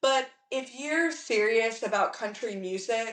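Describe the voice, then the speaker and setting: Here is an unremarkable speaking voice: a woman with an American accent. Her pitch is fairly high, with ordinary variation. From Virginia, Hampton Roads. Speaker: country singer-songwriter. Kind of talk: interview.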